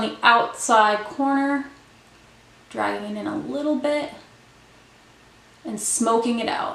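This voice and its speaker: A mumbling woman at a fairly slow pace, with long, frequent pauses, big swings in loudness and ordinary pitch variation, amid noticeable background noise and audible room echo. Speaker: beauty vlogger. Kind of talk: tutorial.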